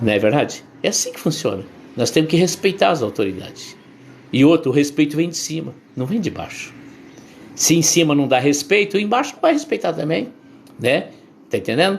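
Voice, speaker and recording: A man with a fairly high pitch speaks at a moderate pace, taking long, frequent pauses, with very wide pitch swings and big swings in loudness. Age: 60s. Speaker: bishop/pastor. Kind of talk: sermon. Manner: conversational, repetitive.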